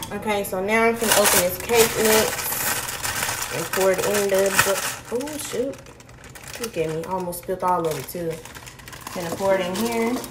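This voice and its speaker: A woman speaks at a fairly slow pace. Loud background noise runs underneath. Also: ordinary pitch variation. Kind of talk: casual vlog chat. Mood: light, self-mocking. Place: kitchen. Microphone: phone near.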